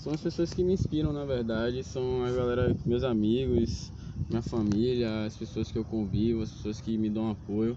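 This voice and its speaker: With noticeable background noise around him, a man speaks at a moderate pace and medium pitch with ordinary pitch variation. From Salvador, Bahia, Brazil. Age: 20s. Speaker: street photographer. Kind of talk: casual interview. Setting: outdoors in a public square.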